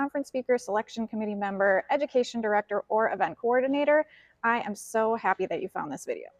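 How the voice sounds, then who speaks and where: In a Minnesotan accent, a woman talks at a fairly quick pace and fairly high pitch with ordinary pitch variation, the sound dry and close with no echo. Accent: Minnesota. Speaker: financial educator and speaker. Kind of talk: video introduction.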